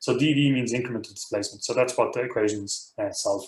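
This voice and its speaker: A man talks at a very fast pace, somewhat breathy. His medium-pitched voice keeps a fairly even intonation. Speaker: university professor teaching a software workshop. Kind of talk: technical training tutorial. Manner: many fillers and repeated words.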